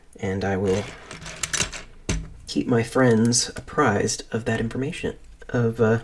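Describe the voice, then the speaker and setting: The speaker goes at a fairly slow pace with fairly even intonation and long, frequent pauses, with noticeable background noise behind. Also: man, medium pitch for a man. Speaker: streamer. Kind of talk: casual chat. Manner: halting; soft-spoken.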